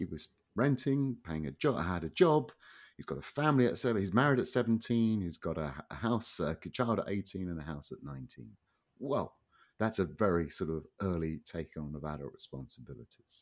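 A man with a very deep, low pitch speaks at a fairly quick pace, his pitch swinging very widely. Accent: Southern English. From England. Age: 50s. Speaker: economist and author. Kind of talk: interview. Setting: remote call. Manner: halting.

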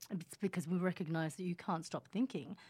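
A woman with an Australian accent talks at a fairly quick pace in a calm tone. Her fairly low voice is somewhat breathy, with a dark, mellow tone. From Australia, Sydney; born in Indonesia. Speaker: hypnotherapist and meditation teacher. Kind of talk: casual interview. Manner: calm, laughs often.

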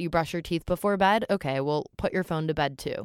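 A woman's unremarkable speaking voice, fairly low in pitch, with an American accent, at a fairly quick pace, in a dry, close sound with no echo. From New York City. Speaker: advocate and nonprofit founder. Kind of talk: casual chat.

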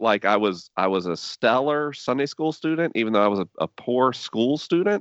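A man with an American accent talks at a moderate pace, his pitch swinging very widely. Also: medium pitch for a man. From US South, Tallahassee, Florida. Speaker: podcaster and faith writer. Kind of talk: interview conversation.

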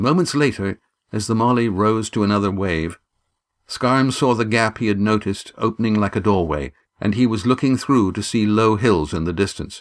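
A man's unremarkable speaking voice, fairly low in pitch with ordinary pitch variation, at a moderate pace, in a very clean recording with a silent background. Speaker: audiobook narrator and author. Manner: measured, vivid storytelling pace with gruff gravelly tone shifts for sailors' dialogue.

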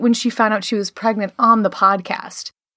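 An ordinary speaking voice with an American accent moves at a fairly slow pace. The sound is dry and close, with no echo. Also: woman. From Chicago. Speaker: actor, comedian and podcast host. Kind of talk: casual chat.

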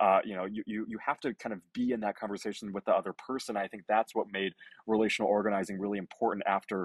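A man's fairly low-pitched voice, in a dry, close sound with no echo. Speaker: youth voter organizer. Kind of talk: casual political podcast interview.

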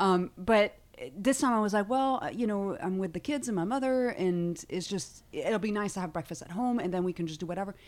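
With a French accent, a woman talks at a fairly quick pace in a medium pitch and lively intonation. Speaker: stand-up comedian. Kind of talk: casual chat. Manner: animated.

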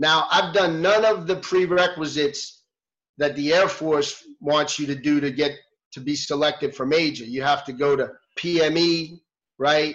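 In an American accent, an unremarkable speaking voice moves at a fairly slow pace with fairly even intonation. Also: man, fairly high pitch for a man. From New York City. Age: 50s. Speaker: retired military helicopter pilot. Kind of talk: casual interview. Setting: video call.

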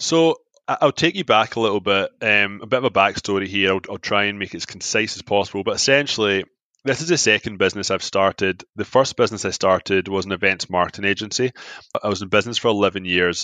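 In a dry, close recording with no echo, a man with a Glaswegian accent and a fairly low pitch talks at a very fast pace. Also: ordinary pitch variation. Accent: Scottish, Glaswegian. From Scotland. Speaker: app founder. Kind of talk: casual interview chat.

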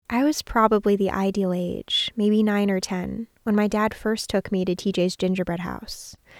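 A woman's unremarkable speaking voice with an American accent and fairly even intonation, in a very clean recording with a silent background and a dry, close sound with no echo. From Northern California. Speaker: audio journalist. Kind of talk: scripted narration.

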